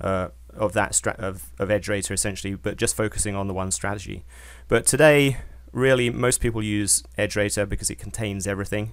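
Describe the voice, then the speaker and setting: A man with a British accent talks at a fairly quick pace. His fairly low voice has vocal fry. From Britain. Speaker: software company founder and trader. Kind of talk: webinar presentation. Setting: online webinar. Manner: hesitant, many fillers.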